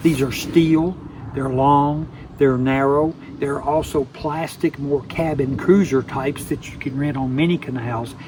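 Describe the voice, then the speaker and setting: There is noticeable background noise. A man speaks fairly slowly at a fairly high pitch with fairly even intonation. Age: 70s. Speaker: travel vlogger. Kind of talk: casual chat.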